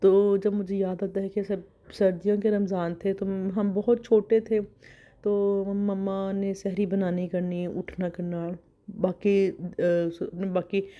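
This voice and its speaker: Very slow, monotone, flat speech from a woman at medium pitch with a dark, mellow tone. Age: young. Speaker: vlogger. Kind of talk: casual vlog narration.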